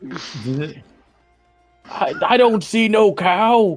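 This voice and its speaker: Over faint background music, a man puts on a character voice that is high for a man and swings very widely in pitch. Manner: slurred, dim-witted.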